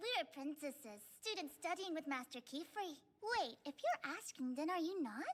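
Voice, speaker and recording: A female-sounding voice performs a cartoonish character voice. It is high in pitch and moves at a moderate pace. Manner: energetic, cheerful.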